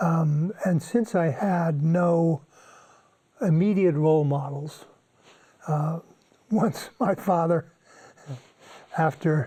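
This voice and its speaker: A man with a dark, mellow tone and fairly high pitch speaks very slowly, leaving long, frequent pauses. His loudness stays very even, and his pitch varies in an ordinary way. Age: 80s+. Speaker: retired environmental studies professor. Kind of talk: interview answer.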